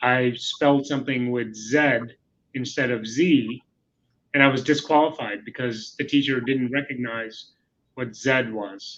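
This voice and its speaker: A man at medium pitch with an American accent, an unremarkable speaking voice, a fairly slow pace and fairly even intonation. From India (Mumbai), then US. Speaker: corporate executive. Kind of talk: interview. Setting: webinar video call.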